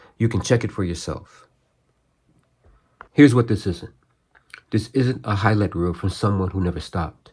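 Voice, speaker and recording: Somewhat breathy, a man talks in a fairly low pitch with ordinary pitch variation. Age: 60s. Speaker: martial arts practitioner and channel host. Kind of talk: scripted narration; casual talk to camera. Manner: hesitant with fillers.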